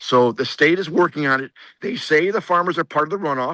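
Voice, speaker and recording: In an Upper Midwest accent, a bright, sharp voice moves at a fairly quick pace with ordinary pitch variation, sounding dry and close with no echo over a quiet background. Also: man. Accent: Upper Midwest American (Michigan). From southeast Michigan, Monroe County. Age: 60s. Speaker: state senator. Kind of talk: interview. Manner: halting, repeats words.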